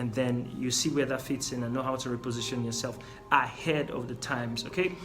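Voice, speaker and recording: A man with a non-native accent talks at a fairly quick pace, medium pitch and fairly even intonation, with audible room echo and music in the background. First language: not English. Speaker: business coach. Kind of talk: lecture.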